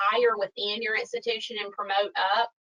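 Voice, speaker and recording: Moderate pace with ordinary pitch variation, in a Southern US accent. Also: woman. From US South, Alabama. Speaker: financial crime compliance expert. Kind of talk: webinar Q&A. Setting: online webinar.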